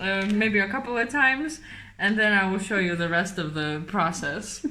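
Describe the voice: In a room with audible echo, a woman with a bright, sharp tone speaks at a moderate pace and medium pitch, her pitch varying in an ordinary way.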